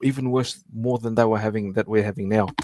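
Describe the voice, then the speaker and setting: This man has an Australian accent. His voice is medium in pitch. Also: dry, close sound with no echo. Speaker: archaeology livestream host. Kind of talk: casual live stream talk. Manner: halting, many false starts.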